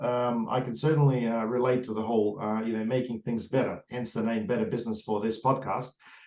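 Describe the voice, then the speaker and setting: Speaking at a fairly quick pace, a man with an Australian accent has a medium pitch over noticeable background noise. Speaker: podcast host. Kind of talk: interview. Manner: fast; hesitant, many fillers.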